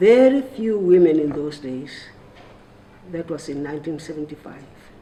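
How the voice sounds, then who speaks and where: A woman with a Lesotho accent speaks at a very deep, low pitch with lively intonation and big swings in loudness. Noticeable background noise runs underneath. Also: moderate pace. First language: Sesotho. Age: 80s+. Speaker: retired civil servant and activist. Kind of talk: roundtable speech. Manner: halting.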